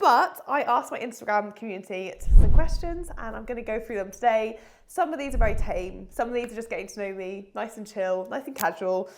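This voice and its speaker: Using a British accent, a woman with a fairly high pitch talks at a fairly quick pace with lively intonation, hardly any pauses and big swings in loudness. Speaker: online fitness coach. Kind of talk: casual vlog chat. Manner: animated.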